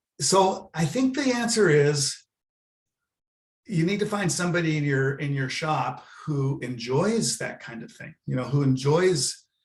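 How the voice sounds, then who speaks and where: A man talks at a fairly slow pace with an American accent. His voice is somewhat breathy. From Southern California. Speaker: university planned giving director. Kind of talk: webinar presentation. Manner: halting, many fillers.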